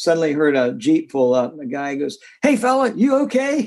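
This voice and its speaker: The tone is dark and mellow, and the pace is moderate. Pitch variation is ordinary. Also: man. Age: 70s. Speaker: pickleball coach and columnist. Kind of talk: interview. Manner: halting.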